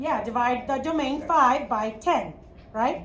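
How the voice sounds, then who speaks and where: A woman with a Chicago accent speaks fairly slowly at a high pitch with lively intonation. Audible room echo and noticeable background noise fill the recording. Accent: Midwest Chicago. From US Midwest, Chicago. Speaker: math teacher. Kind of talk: classroom lecture. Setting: classroom.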